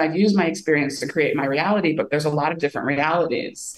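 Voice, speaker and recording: Lively intonation and a fairly quick pace mark this voice with an American accent, heard over noticeable background noise. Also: woman. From US Midwest. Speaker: filmmaker. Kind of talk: casual chat.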